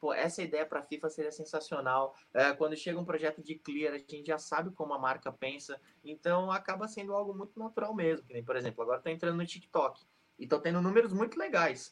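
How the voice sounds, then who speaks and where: A man talks at a fairly quick pace in a normal speaking voice. His pitch is fairly high, with ordinary pitch variation. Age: 30s. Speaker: sports YouTuber. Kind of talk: interview.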